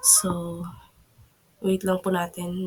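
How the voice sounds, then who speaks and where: A woman at medium pitch, speaking at a very slow pace. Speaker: tech tutorial YouTuber. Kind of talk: screen-recorded tutorial. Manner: polite, halting with fillers.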